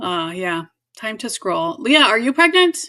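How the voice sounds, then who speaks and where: Bright and sharp in tone, a woman with a General American accent speaks at a fairly high pitch with very wide pitch swings. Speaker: pregnancy nurse. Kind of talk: live stream Q&A. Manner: fast; casual, many fillers.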